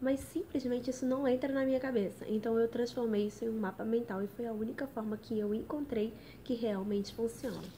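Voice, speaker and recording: A woman with a fairly high pitch, a dark, mellow tone and ordinary pitch variation. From Brazil, Rio de Janeiro. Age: 20s. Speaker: lawyer studying for civil service exams. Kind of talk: live stream study tips talk. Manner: casual, chatty.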